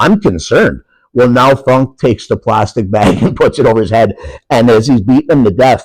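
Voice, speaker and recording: A man with an Upper Peninsula Michigan accent talks at a fairly quick pace in an animated tone with lively intonation. His medium-pitched voice keeps a very even loudness. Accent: Upper Peninsula Michigan (Yooper). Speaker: professional wrestler. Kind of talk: casual chat.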